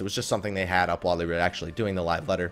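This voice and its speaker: A male voice over background music. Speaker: gaming commentator. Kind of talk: casual talk to camera. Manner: low energy.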